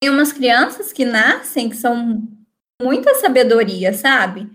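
The speech moves fairly slowly. Its pitch variation is ordinary. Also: woman. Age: 20s. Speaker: master's student, spiritist guest. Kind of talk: casual chat.

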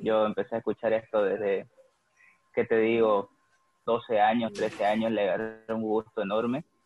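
At a moderate pace, a man talks at medium pitch. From Bolivia, Santa Cruz. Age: 20s. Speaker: rock musician. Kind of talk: casual interview chat.

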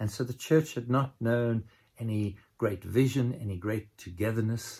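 Somewhat breathy male speech, fairly slow in pace. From South Africa, Cape Town. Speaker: pastor. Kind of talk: sermon. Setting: recorded remotely for a distant church.

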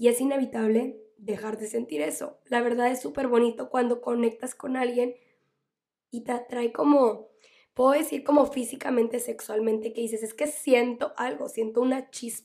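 The voice has a dark, mellow tone and a moderate pace. Its pitch varies in an ordinary way. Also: woman, high pitch for a woman. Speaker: psychologist and podcast host. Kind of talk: solo podcast advice talk. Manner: loud.

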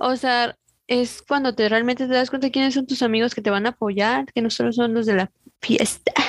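A woman speaks at a fairly quick pace with a high pitch and fairly even intonation. Her loudness stays very even, and the sound is dry and close with no echo. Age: 20s. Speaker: podcast co-host. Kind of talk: casual chat.

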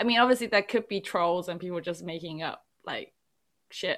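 A woman with a British accent, a bright, sharp tone at medium pitch for a woman, and fairly even intonation, on a very clean recording with a silent background. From England, Chinese family. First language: Chinese. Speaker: podcast host. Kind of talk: casual chat.

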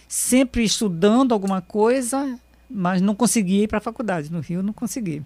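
A woman's plain, everyday voice, a plain, everyday voice pitched fairly high, with lively intonation. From Brazil, Amazon region (raised in Manaus from age seven). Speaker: writer and journalist. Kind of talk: radio interview.

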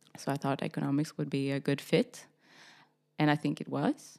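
At a moderate pace, a woman speaks in a very deep, low pitch with vocal fry. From Sweden (Stockholm), teen years in Texas. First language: Swedish. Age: 20s. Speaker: fashion industry professional. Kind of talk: interview. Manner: halting, many fillers.

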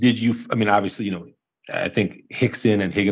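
Here is a man with a plain, everyday voice and fairly low pitch. His intonation stays fairly even over a quiet background. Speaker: podcast host, doctor. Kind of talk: casual interview.

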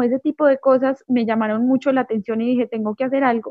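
Talking at a very fast pace, a woman uses a high-pitched voice. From Colombia, Manizales. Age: 20s. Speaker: singer-songwriter. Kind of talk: interview. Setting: remote call.

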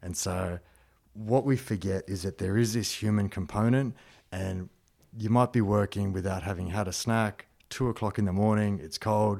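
A man with an Australian accent speaks at a moderate pace in a fairly low voice, his tone dark and mellow, his intonation fairly even, on a very clean recording with a silent background. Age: 30s. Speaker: security trainer and martial artist. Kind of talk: casual chat.

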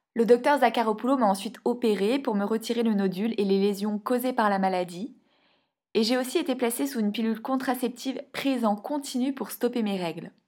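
Fairly high in pitch with ordinary pitch variation, a woman talks at a fairly quick pace in an unremarkable speaking voice, on a very clean recording with a silent background. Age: 30s. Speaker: podcast host and endometriosis patient. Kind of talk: scripted narration.

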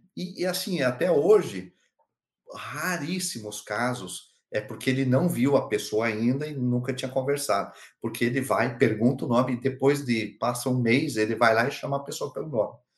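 At a moderate pace, a somewhat breathy man speaks at a medium pitch with ordinary pitch variation. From Curitiba, southern Brazil. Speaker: HR director and speaker. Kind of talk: interview conversation.

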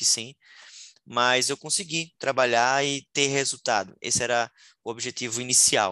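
A man's medium-pitched voice with a bright, sharp tone and fairly even intonation, at a moderate pace, dry and close with no echo over a quiet background. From Sergipe, Northeast Brazil. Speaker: startup founder, marketer. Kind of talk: interview.

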